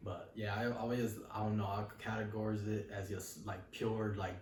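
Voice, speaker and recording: A man talks fairly quickly in a relaxed tone, his fairly low voice monotone and flat. Audible room echo and noticeable background noise surround him. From New York City. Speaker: rapper. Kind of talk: interview.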